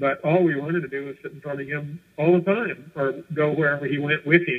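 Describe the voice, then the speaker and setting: A man speaks in a plain, everyday voice at a fairly high pitch, moving at a fairly quick pace with fairly even intonation and big swings in loudness. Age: 60s. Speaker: former commune member. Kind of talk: radio interview. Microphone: muffled.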